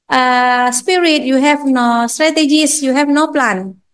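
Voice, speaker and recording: A woman's high-pitched voice in an Indonesian accent, at a very slow pace with ordinary pitch variation. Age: 40s. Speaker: university lecturer. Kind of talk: lecture. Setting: classroom. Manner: halting.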